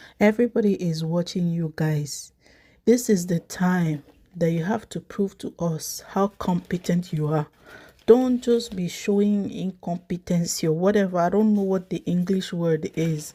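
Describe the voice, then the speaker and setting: On a very clean recording with a silent background, a woman with a non-native accent speaks fairly slowly in a dark, mellow, somewhat breathy tone at medium pitch with ordinary pitch variation. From Africa. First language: not English. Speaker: YouTuber commenting on news. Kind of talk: casual commentary vlog. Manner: halting, with fillers.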